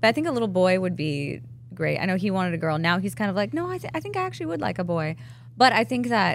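A woman's fairly low voice at a very fast pace with very wide pitch swings. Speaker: fitness apparel entrepreneur. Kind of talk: casual chat.

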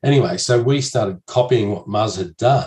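A man speaks in a somewhat breathy voice. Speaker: podcast guest. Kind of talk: interview answer. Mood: cheerful storytelling. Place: home room. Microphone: studio mic.

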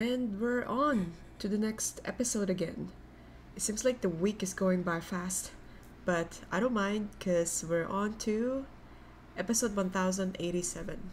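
Somewhat breathy, a woman talks at a fairly slow pace with ordinary pitch variation over light background noise. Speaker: anime reaction youtuber. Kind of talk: casual vlog chat. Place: home room. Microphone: webcam.

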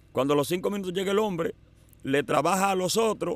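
A man talks with ordinary pitch variation, his voice dry and free of echo. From Dominican Republic. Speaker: evangelical pastor and evangelist. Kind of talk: testimony; interview answer, personal testimony. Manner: halting. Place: open country. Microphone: studio mic.

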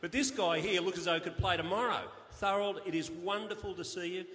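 Talking fairly quickly, a man speaks in an Australian accent. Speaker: master of ceremonies. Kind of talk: awards night interview. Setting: stage with audience. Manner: jovial. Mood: jovial, warm. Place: hall. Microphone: handheld.

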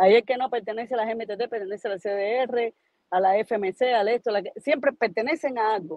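Against a quiet background with dry sound and no echo, a woman speaks at a moderate pace with fairly high pitch and ordinary pitch variation. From Cuba. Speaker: live stream call-in participant; guest commentator. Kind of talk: casual political discussion. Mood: angry, indignant. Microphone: video call.

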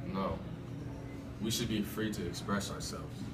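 With music behind him, a man keeps to a moderate pace. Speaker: student actor in a role. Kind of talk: dramatic speech to listeners. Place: hall. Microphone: camera far.

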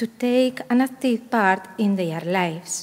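A woman with a Spanish accent speaks at a moderate pace with lively intonation. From Spain, Asturias. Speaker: conference panelist. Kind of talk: conference presentation. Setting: stage with audience. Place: hall. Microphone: podium.

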